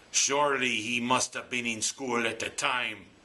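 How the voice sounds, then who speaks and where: A man puts on a raspy character voice with an Irish accent. His intonation stays monotone and flat. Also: medium pitch for a man, moderate pace. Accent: Irish brogue. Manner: mock, playful.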